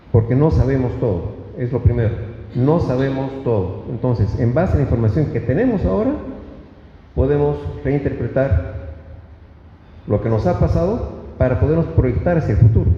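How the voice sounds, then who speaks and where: The speaker uses lively intonation at a moderate pace, with long, frequent pauses. Both noticeable background noise and audible room echo are present. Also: man, medium pitch for a man. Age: 60s. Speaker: public speaker. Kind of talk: lecture. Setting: stage with audience. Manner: halting.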